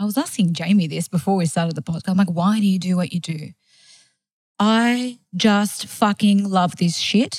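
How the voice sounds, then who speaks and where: A woman with an Australian accent speaks at a moderate pace and medium pitch. Her voice is somewhat breathy, with ordinary pitch variation. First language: not English. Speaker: food blogger and marketing agency owner. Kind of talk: interview.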